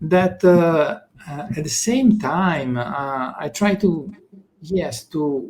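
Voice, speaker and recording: A man's fairly high-pitched voice with an Italian accent. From Italy. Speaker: consciousness teacher. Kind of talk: interview. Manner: halting.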